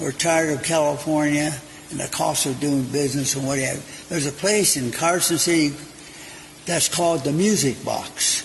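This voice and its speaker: A man's fairly quick-to-rise, fairly high-pitched voice at a moderate tempo, its intonation fairly even, with noticeable background noise and audible echo from the room. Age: 80s+. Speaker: restaurant owner and cook. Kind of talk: interview. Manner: halting.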